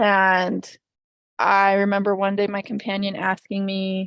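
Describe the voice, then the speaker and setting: Over a quiet background, a woman with a western US accent speaks at a medium pitch. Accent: American English, western US. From Utah. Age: 20s. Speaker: podcast guest sharing faith story. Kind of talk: personal testimony. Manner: halting, many fillers and restarts.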